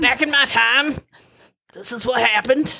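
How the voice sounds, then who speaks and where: A female-sounding voice puts on a character voice pitched high. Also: moderate pace. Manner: reminiscing, storytelling.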